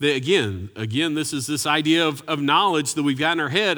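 Bright and sharp in tone, a man speaks at a moderate pace in a fairly high pitch. His intonation is lively, and the recording is very clean with a silent background. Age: 50s. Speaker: pastor. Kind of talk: sermon.

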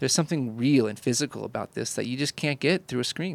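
A man with an American accent and vocal fry talks very fast at a medium pitch with ordinary pitch variation, in a dry, close sound with no echo. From Indiana, US Midwest. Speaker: podcast host, photographer. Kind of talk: casual chat.

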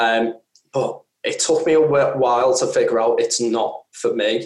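A man speaks with a Merseyside accent. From northern England, Wirral. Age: 30s. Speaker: podcast co-host. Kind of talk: casual chat.

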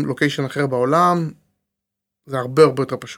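In a very clean recording with a silent background, a man speaks at medium pitch with fairly even intonation. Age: 30s. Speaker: tech entrepreneur. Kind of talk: casual interview.

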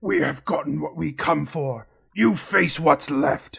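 Raspy and fairly high-pitched, a man puts on a character voice and speaks at a fairly slow pace. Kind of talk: fantasy villain voice. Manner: cold, commanding.

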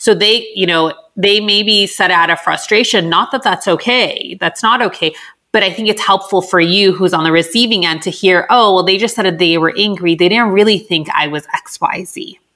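At a moderate pace, a woman with a Californian accent speaks at medium pitch with ordinary pitch variation. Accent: Californian American English. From Southern California (Los Angeles). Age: 30s. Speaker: clinical psychologist. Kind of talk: interview, casual advice chat.

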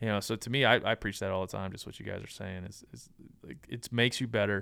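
A man's ordinary speaking voice at a fairly quick pace, with ordinary pitch variation. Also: very clean recording, silent background. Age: 30s. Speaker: hunting podcast host and nonprofit founder. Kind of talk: casual interview.

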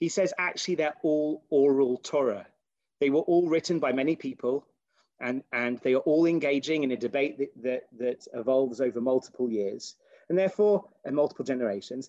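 The speaker has a British accent and talks at a fairly quick pace with ordinary pitch variation, in a dry, close sound with no echo. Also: man, fairly high pitch for a man. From Britain. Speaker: rabbi and philosophy lecturer. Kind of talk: lecture. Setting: video call. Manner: halting.

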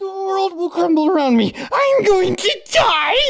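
Pitched extremely high, the put-on character voice moves along at a moderate pace. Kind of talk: comic overacting. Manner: paranoid, panicked.

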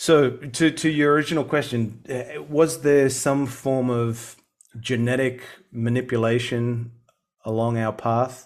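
This man speaks with an Australian accent at a medium pitch. His pace is fairly slow and his intonation fairly even. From Sydney, Australia. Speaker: UFO researcher and campaigner. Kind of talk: casual interview.

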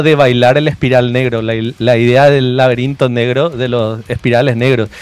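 Here a man talks in a plain, everyday voice. His pitch is medium and his pace moderate. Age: 40s. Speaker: illustrator and visual artist. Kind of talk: casual interview.

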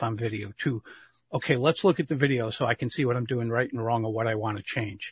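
A man talks at a very fast pace in a somewhat breathy voice of medium pitch, the sound dry and close with no echo over a quiet background. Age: 60s. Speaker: public speaking coach. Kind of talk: interview.

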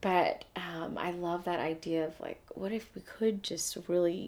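In an American accent, a woman speaks very slowly with a dark, mellow tone. Her fairly low voice moves with fairly even intonation. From Atlanta, Georgia, US South. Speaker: poet. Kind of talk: casual chat.

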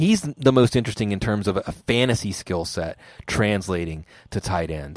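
This man has an unremarkable speaking voice, fairly low in pitch with ordinary pitch variation, captured on a very clean recording with a silent background and a dry, close sound with no echo. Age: 40s. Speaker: fantasy football analyst. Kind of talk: casual chat. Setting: podcast recording.

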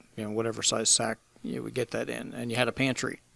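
A medium-pitched man rattles along at a very fast pace. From Pennsylvania. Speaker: coffee roaster and business owner. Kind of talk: casual interview. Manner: halting, many fillers.

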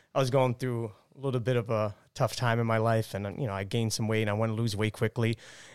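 Talking at a very fast pace, a man with a medium pitch keeps his intonation fairly even, and the recording is very clean with a silent background. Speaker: gym member. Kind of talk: casual chat.

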